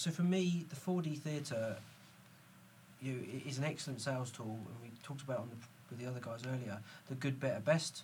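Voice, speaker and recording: A somewhat breathy male voice with ordinary pitch variation and long, frequent pauses. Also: medium pitch for a man. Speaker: podcast host. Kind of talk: casual panel interview.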